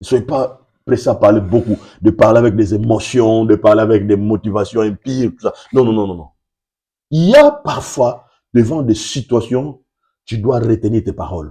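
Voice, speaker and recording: A man's somewhat breathy, dark, mellow voice, with big swings in loudness and ordinary pitch variation. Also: medium pitch for a man. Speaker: pastor. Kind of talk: sermon. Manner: deliberately slow.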